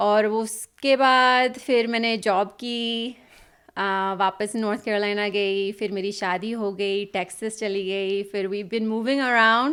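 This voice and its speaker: Fairly even intonation from a woman with a fairly high voice. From US South, North Carolina. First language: English (weak Hindi) (speaking Hindi). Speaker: pharmacist and mother. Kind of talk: podcast interview.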